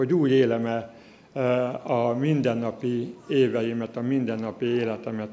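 Amid audible room echo, a man speaks in a dark, mellow tone with fairly even intonation. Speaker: church leader. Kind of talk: testimony. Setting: church. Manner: halting.

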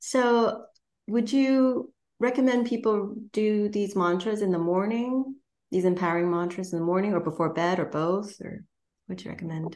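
A woman talks at a moderate pace with a medium pitch and ordinary pitch variation. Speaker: podcast host. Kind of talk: interview. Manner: enthusiastic.

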